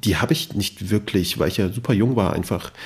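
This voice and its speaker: A man's somewhat breathy, medium-pitched voice in a very clean recording with a silent background. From Germany, Kassel (Hesse). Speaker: podcaster and journalist. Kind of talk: interview conversation.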